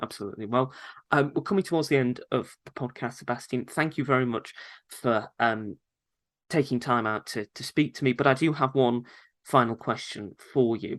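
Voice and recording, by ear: A man speaks at a medium pitch. His tone is fairly bright. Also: ordinary pitch variation, moderate pace.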